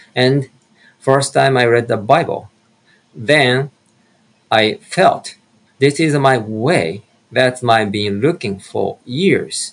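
The speaker is a man. He talks with a Japanese accent. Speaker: minister. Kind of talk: testimony.

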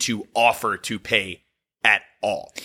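In an American accent, a man with a bright, sharp tone speaks at a very slow pace on a very clean recording with a silent background. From US South, Virginia. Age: 30s. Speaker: podcast host. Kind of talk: casual chat; sponsor read.

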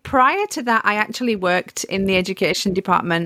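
Speaking with a northern English accent, a woman talks at a moderate pace with ordinary pitch variation, the sound dry and close with no echo. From northern England. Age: 40s. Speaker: author and home educator. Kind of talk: interview.

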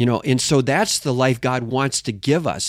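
Over a silent background on a very clean recording, a normal speaking voice moves at a moderate pace. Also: man. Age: 60s. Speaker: evangelist and band frontman. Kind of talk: interview.

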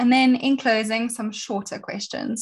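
On a very clean recording with a silent background, a woman with a somewhat breathy, fairly high voice speaks at a moderate pace. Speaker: podcast host. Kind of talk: interview.

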